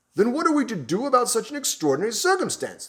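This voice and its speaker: A man uses a put-on character voice, bellowing at an extremely high pitch. He talks very fast with very wide pitch swings. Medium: read story.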